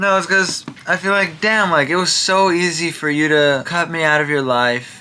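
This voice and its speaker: There is noticeable background noise as a man talks at a moderate pace with lively intonation. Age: 20s. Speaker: vlogger. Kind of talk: personal video diary. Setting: at home.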